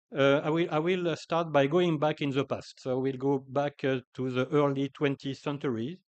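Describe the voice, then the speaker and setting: Moderate pace and fairly even intonation in a French accent, with a dry, close sound, no echo and a quiet background. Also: man, fairly high pitch for a man. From France, Paris. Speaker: agricultural scientist. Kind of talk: conference talk. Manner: hesitant, many fillers.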